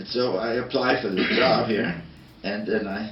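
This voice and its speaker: A man's voice over background music, with audible room echo. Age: 80s+. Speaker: design educator. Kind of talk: interview.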